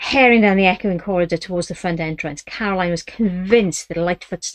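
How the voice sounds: The speaker reads in a natural voice.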